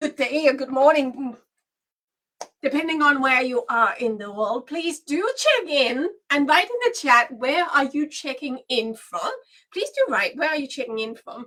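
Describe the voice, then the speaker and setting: A woman with a high pitch and a bright, sharp tone speaks in a raised, projected voice at a fairly slow pace. Her intonation is lively, and her loudness swings widely. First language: Danish and Swedish. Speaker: business coach. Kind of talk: webinar training livestream. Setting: livestream.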